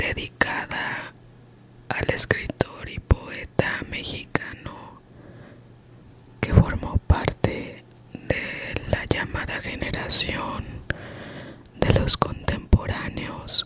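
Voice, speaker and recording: A very slow whisper broken by long, frequent pauses, over noticeable background noise. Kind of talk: casual talk to camera. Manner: whispered.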